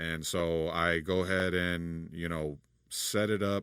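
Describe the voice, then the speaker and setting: In a very clean recording with a silent background, a man talks at a very slow pace. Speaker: audio engineer / tutorial creator. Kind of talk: tutorial. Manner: casual, halting.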